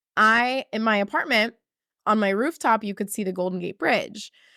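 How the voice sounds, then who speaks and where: A woman with an American accent talks at a fairly quick pace in a fairly high, animated voice with ordinary pitch variation, on a very clean recording with a silent background and a dry, close sound with no echo. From New York. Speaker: confidence coach. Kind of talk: podcast monologue. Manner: casual, animated.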